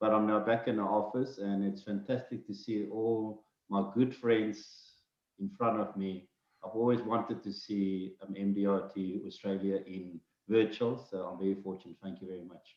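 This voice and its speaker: A man with a South African accent, fairly low in pitch, at a moderate pace, with fairly even intonation and big swings in loudness. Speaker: financial adviser. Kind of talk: casual chat. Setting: video call; office.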